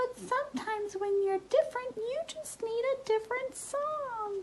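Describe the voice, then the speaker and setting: A squeaky, put-on character voice reaches an extremely high pitch. Background noise is clearly heard. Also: moderate pace. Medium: read story.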